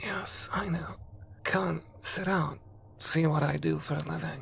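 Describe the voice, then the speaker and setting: Cackling in a put-on character voice, a man talks at a fairly slow pace against light background noise. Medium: read story. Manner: cryptic, knowing.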